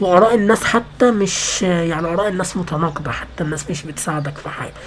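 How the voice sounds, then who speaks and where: A woman with an Egyptian accent talks at a fairly quick pace, her fairly low pitch showing ordinary variation and her loudness swinging widely. Noticeable background noise and audible room echo surround her. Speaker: gaming youtuber. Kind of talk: casual vlog rant. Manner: halting, repetitive.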